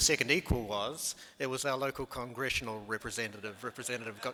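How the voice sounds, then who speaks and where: A man with a New Zealand accent at a very fast pace, medium in pitch, with noticeable background noise. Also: hardly any pauses. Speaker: medical research scientist. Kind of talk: conference presentation. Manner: halting, many fillers.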